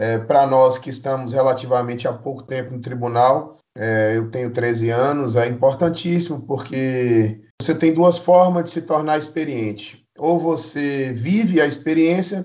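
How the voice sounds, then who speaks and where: A man talks at a fairly slow pace with hardly any pauses, ordinary pitch variation and an ordinary speaking voice. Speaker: union-member colleague joining interview. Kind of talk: casual interview.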